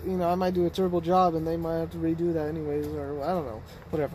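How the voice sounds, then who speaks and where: The words come at a very fast pace. The speech is mumbled. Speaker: car DIY youtuber. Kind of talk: casual vlog storytelling. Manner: rambling casual, mumbling.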